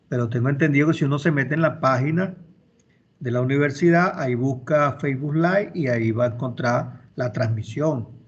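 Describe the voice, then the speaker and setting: A man with a fairly high pitch talks at a fairly quick pace, his voice somewhat breathy against audible room echo. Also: ordinary pitch variation. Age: 60s. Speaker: university law professor. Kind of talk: online class lecture. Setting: video call.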